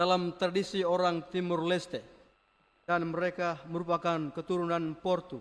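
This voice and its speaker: Pitched high for a man, his delivery is monotone and flat, with very even loudness at a moderate pace. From Flores, eastern Indonesia. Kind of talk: homily. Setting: church.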